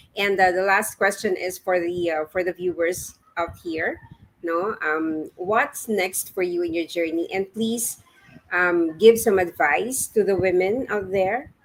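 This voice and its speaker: A woman talks fairly slowly, her medium pitch varying in an ordinary way. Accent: Filipino. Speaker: talk show host. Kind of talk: interview.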